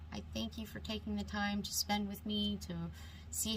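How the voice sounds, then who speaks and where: A woman talks at a fairly slow pace in a space with audible room echo and noticeable background noise. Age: 40s. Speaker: beauty YouTuber. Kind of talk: makeup tutorial. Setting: alone at home vanity, talking to camera. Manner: halting, stumbling over words.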